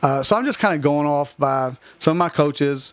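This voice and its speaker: Speaking with a Kentucky accent, a man uses a fairly high pitch, ordinary pitch variation and a moderate pace. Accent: Southern US (Kentucky). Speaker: high school softball head coach. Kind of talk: radio interview. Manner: loud.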